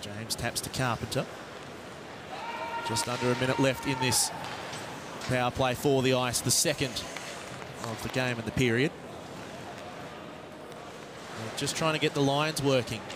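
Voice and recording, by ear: A man with a medium pitch speaks at a fairly slow pace with fairly even intonation. Long, frequent pauses break his speech, and clear background noise is present.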